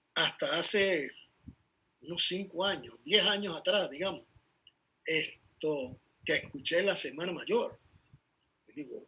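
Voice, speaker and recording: A man speaks in a high pitch with a bright, sharp tone and a raised, projected voice, moving at a fairly slow pace with ordinary pitch variation and long, frequent pauses. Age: 70s. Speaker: bible teacher. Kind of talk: bible study talk.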